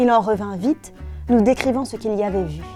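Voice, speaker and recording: A woman's fairly high voice at a moderate pace, with fairly even intonation and music in the background. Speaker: author reading her own book. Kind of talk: children's story reading.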